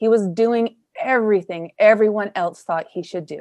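A woman's fairly high, ordinary speaking voice with a Canadian accent at a moderate pace. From Canada. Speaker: podcast host. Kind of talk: scripted narration; interview conversation.

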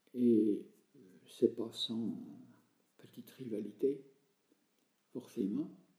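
A man talking at a very slow pace, with long, frequent pauses. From France, Jura. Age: 70s. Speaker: retired country priest. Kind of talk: interview.

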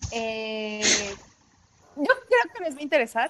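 A woman with a Mexican accent speaks at a very slow pace. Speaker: podcast host. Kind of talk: casual chat.

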